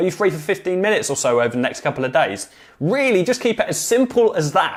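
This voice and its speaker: Very fast and animated, a man talks in a British accent. His high-pitched voice moves through very wide pitch swings. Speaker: social media marketing agency owner and coach. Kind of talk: tutorial.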